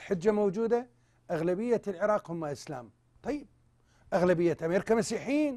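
Speaking with an Iraqi accent at a fairly slow pace, a man has a high pitch and a dark, mellow tone. His intonation is lively, and the background is quiet. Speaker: TV host. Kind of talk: live TV talk show. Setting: studio. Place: studio.

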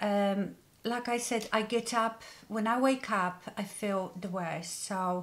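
Her intonation is fairly even. The speaker is a woman. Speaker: beauty vlogger. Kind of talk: casual vlog chat. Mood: serious, somewhat subdued. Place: home room.

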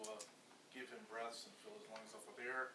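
Over noticeable background noise, a man speaks with fairly even intonation. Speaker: official giving a report at a council meeting. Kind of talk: formal meeting report. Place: meeting room. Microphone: camera far.

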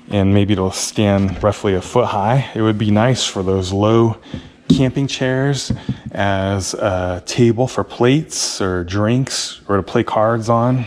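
At a fairly slow pace, a man speaks in an unremarkable speaking voice, fairly low in pitch with ordinary pitch variation. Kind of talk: tutorial. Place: garage. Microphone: camera far.

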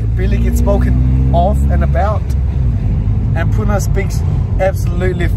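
A man at a moderate pace, dry sound with no echo, loud background noise. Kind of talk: casual vlog chat. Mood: joking, laughing. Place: car.

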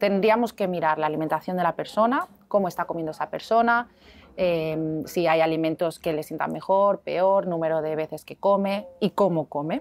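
A woman speaks in a normal speaking voice with a fairly low pitch. Her pace is moderate and her pitch variation ordinary. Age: 40s. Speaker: health and weight-loss practitioner; guest. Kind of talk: interview. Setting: hotel. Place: cafe. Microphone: lapel.

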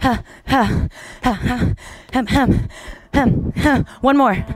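Faint music plays behind a woman's high-pitched voice. The sound is dry, with no echo. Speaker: kickboxing instructor. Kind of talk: workout instruction cues. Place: gym.

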